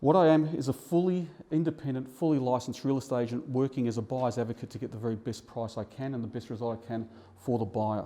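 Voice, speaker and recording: Words tumble out of a man at a very fast pace. His medium pitch moves with ordinary variation. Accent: Australian. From Australia, eastern suburbs of Melbourne. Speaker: real estate buyer's advocate. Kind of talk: seminar presentation. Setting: seminar room with live audience. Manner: fast at times.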